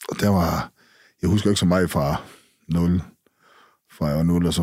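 Against nothing but his own voice, a man speaks at a moderate pace with a very deep, low pitch. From Skagen, North Jutland, Denmark. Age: 40s. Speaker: former drug dealer. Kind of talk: personal testimony interview.

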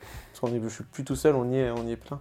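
This man has a dark, mellow tone and monotone, flat intonation. He speaks at a fairly quick pace. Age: 20s. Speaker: 3D artist. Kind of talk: casual interview.

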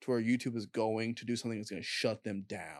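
A man with an American accent speaks at a medium pitch. His pace is moderate. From Indianapolis, Indiana, US Midwest. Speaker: YouTuber. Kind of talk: casual chat.

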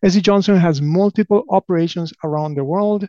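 In an Argentine accent, a man with a dark, mellow tone talks at a fairly quick pace with fairly even intonation, the sound dry and close with no echo against a quiet background. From Argentina (Buenos Aires). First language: Spanish. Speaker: company president. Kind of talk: interview.

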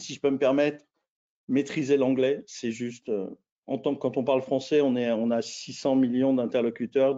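This man speaks at a moderate pace in a medium pitch, his intonation monotone and flat. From France. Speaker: intercultural management consultant. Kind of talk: webinar interview. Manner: halting, many repetitions and fillers.

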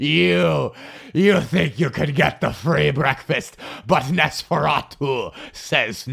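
A put-on character voice with a sinister tone unfolds at a very slow pace. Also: man, medium pitch for a man. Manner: gloating, sinister put-on.

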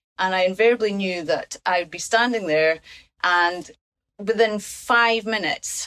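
Speaking with a Scottish accent, a woman talks at a fairly slow pace, with a medium pitch and fairly even intonation. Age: 50s. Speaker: patient and primary teacher. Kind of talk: casual chat.

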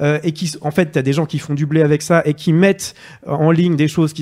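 An ordinary speaking voice from a man, pitched fairly high and moving at a fairly quick pace. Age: 30s. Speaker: journalist. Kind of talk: casual chat.

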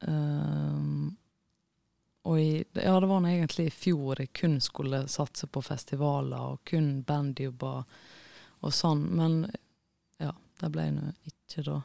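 In a very clean recording with a silent background and a dry, close sound with no echo, a woman speaks at a very slow pace with long, frequent pauses. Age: 30s. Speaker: musician. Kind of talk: interview.

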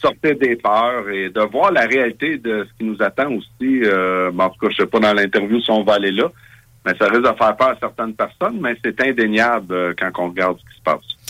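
A man speaks at a medium pitch and a fairly quick pace, with ordinary pitch variation. He has a normal speaking voice, though his loudness swings widely. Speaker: political party leader. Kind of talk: interview.

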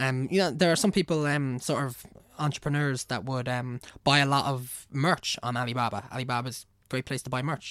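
With a Meath accent, a man speaks at a medium pitch in a bright, sharp tone. The recording is very clean, with a silent background. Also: dry, close sound with no echo. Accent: Irish, Navan. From Ireland (Navan). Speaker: engineer. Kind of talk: casual chat. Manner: animated, casual, profane.

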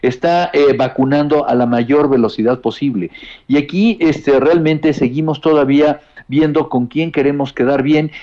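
A man speaks at a moderate pace with a fairly high pitch, ordinary pitch variation and a dark, mellow tone. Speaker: health policy specialist. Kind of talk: interview. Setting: phone call. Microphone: bad connection.

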